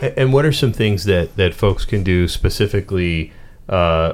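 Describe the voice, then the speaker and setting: At a moderate pace, a man talks with a Pittsburgh accent. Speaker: radio co-host. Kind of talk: radio interview. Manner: casual, filler-heavy.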